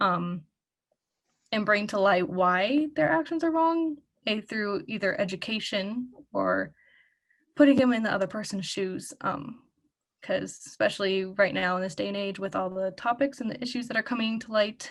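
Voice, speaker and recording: A plain, everyday voice from a woman, with lively intonation at a moderate pace over a quiet background. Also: medium pitch for a woman. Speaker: student discussion facilitator. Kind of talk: group discussion facilitation.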